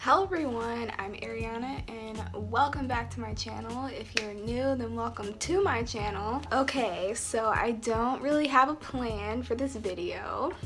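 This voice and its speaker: A woman speaks at a fairly slow pace with hardly any pauses, her voice carrying an audible room echo over music in the background. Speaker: beauty vlogger. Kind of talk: casual makeup tutorial chat. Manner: relaxed, conversational.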